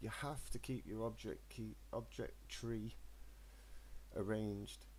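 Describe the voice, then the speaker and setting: Audible room echo fills this recording. The voice belongs to a man. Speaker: crypto trading streamer. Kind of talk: live stream tutorial. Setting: live stream. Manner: halting.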